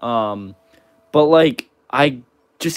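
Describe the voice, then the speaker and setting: A man talks with lively intonation, and the background is quiet. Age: 20s. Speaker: gaming livestreamer. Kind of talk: casual live stream chat. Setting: live stream. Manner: casual, filler-heavy. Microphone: phone near.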